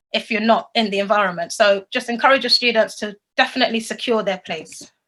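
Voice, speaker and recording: The tone is bright and sharp, with ordinary pitch variation. The delivery comes at a very fast pace. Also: woman, fairly high pitch for a woman. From London, England. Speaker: secondary school teacher. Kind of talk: educational presentation.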